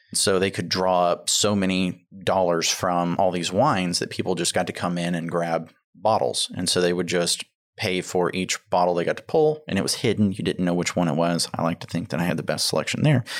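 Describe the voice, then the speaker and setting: With a Texan accent, a man talks at a very deep, low pitch. He moves at a fairly quick pace with ordinary pitch variation. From Texas, Tomball area. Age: 30s. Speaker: restaurant owner. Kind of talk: casual chat. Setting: studio.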